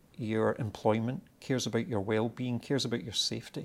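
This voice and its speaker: A man with a Scottish accent talks at medium pitch with ordinary pitch variation. The recording is very clean, with a silent background. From Scotland. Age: 50s. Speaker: tech company executive. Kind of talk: interview.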